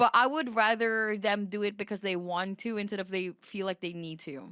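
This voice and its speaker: Bright and sharp in tone, a woman talks in an animated way at a medium pitch with ordinary pitch variation, captured dry and close with no echo. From Philippines. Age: 20s. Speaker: VTuber streamer. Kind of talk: casual live-stream reaction commentary. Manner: halting.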